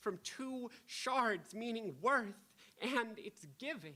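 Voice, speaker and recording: At a very slow pace, a woman speaks in a bright, sharp tone. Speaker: poet. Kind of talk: poetry reading; casual remarks to audience. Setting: stage with audience. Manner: halting between poems.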